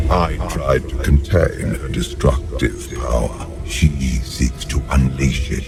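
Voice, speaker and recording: A put-on character voice at a fairly slow pace over loud music in the background. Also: man. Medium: machinima. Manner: measured, thoughtful.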